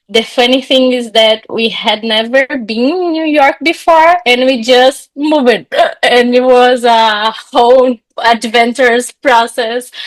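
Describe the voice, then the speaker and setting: Her pitch is high, with ordinary variation. The woman keeps a fairly slow pace. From Brazil. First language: Portuguese. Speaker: psychologist and coach. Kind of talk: podcast interview. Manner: animated; halting.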